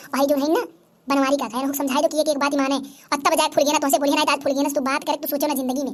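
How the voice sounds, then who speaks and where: A cartoonish character voice rattles along at a very fast pace in a monotone, flat intonation. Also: woman, high pitch for a woman. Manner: blustering.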